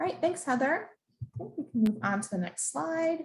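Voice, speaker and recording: A somewhat breathy woman's voice with very wide pitch swings. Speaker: program staff presenter. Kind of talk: information session presentation. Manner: fast.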